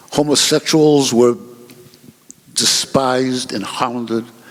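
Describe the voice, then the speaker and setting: The speaker is a man with a medium pitch and fairly even intonation. Noticeable background noise is present. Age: 70s. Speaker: panelist. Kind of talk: panel discussion.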